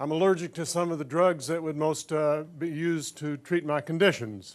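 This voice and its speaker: This man has a normal speaking voice with an American accent and a fairly high pitch. He talks at a moderate pace with fairly even intonation. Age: 60s. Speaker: audience member. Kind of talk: public question.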